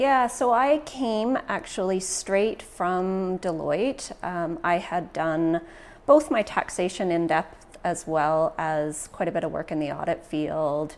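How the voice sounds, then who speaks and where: A woman speaks with a Western Canadian accent. Her pace is very slow. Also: fairly low pitch for a woman, lively intonation, hardly any pauses. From Canada, Prince George, northern British Columbia. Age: 50s. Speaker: credit union CEO. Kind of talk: casual interview.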